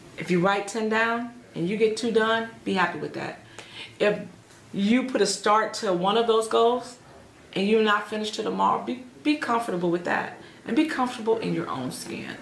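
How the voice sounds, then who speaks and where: Audible room echo surrounds a woman with an American accent who speaks at a moderate pace in a fairly high voice with ordinary pitch variation. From Chicago, west side. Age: 40s. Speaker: small business owner. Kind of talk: interview.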